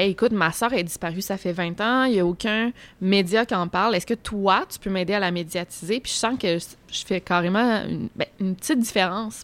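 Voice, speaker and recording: In an unremarkable speaking voice of medium pitch, a woman speaks at a moderate pace in a very clean recording with a silent background. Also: ordinary pitch variation. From Quebec City. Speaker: youtuber on unsolved crimes. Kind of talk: casual chat. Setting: restaurant.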